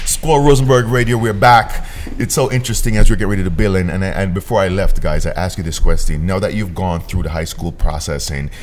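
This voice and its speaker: Speaking fairly quickly with a very deep, low pitch, a man uses an animated tone and lively intonation against noticeable background noise. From Jamaica. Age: 40s. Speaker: internet radio host. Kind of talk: casual interview. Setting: studio.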